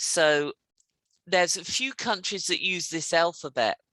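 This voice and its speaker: Recorded dry and close with no echo, a woman talks at a fairly slow pace. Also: quiet background. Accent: British. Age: 50s. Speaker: English teacher. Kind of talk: casual conversation lesson.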